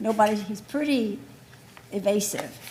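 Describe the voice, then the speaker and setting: The woman's voice is medium in pitch. There is noticeable background noise behind her. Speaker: resident speaking at public hearing. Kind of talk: public hearing testimony. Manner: informal, conversational.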